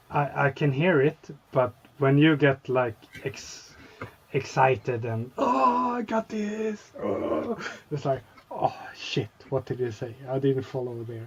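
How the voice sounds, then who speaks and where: Over noticeable background noise, a man at medium pitch speaks very slowly with lively intonation and long, frequent pauses. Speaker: scale model hobbyist. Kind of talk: casual chat. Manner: halting, searching for words.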